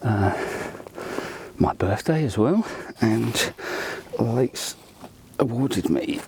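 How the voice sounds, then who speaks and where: Against noticeable background noise, a man of medium pitch speaks at a fairly slow pace with lively intonation. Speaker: angler vlogger. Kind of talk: casual vlog narration. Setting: outdoors.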